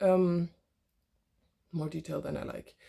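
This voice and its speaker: A woman's voice at a moderate pace. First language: not English (English is her third language). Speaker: yoga teacher and philosophy student. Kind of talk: personal vlog monologue. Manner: halting, with fillers and restarts.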